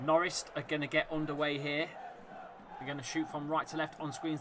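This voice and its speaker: A man with a Leicester accent, fairly high in pitch, fairly quick and flat in a monotone, with crowd noise in the background. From Leicester, England. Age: 30s. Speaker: football fan streamer. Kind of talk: live watchalong commentary. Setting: live stream.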